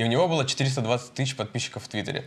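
Pitch moving in an ordinary way, a man talks at a fairly quick pace. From Kursk, Russia. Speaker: stand-up comedian. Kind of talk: casual chat. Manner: storytelling, animated. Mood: amused, storytelling. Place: studio.

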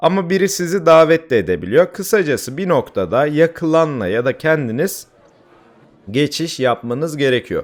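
A man with a fairly high pitch, lively intonation and a moderate pace. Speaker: gaming YouTuber and streamer. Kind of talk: gameplay tutorial. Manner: hesitant fillers.

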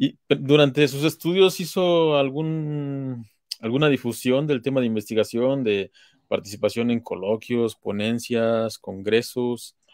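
A man with an unremarkable speaking voice talks at a fairly slow pace and medium pitch, with ordinary pitch variation, in a dry sound with no echo and a quiet background. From Mexico. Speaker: interviewer, online talk series host. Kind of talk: interview. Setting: live stream. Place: home room. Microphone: webcam.

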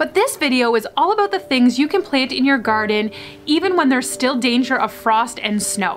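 Faint music plays behind a woman who speaks at a moderate pace in a high pitch. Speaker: home gardening vlogger. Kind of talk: casual vlog chat. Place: street.

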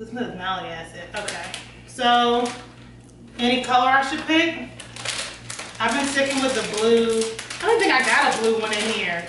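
A woman's high voice at a moderate pace, with long, frequent pauses, big swings in loudness, noticeable background noise and audible room echo. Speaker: food reviewer. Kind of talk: casual vlog chat. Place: kitchen. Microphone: camera far.

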